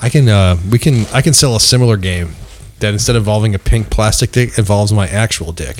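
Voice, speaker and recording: Speech comes at a very fast pace with ordinary pitch variation over noticeable background noise. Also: man, fairly low pitch for a man. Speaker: podcast co-host. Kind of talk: casual comedic banter.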